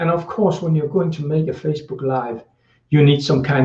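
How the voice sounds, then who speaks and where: A man talks with a Danish accent. His voice is somewhat breathy. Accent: Danish accent, non-native English. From Denmark. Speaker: social media marketing coach. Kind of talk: live video tutorial. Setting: indoors, Facebook live stream. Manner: halting, many fillers.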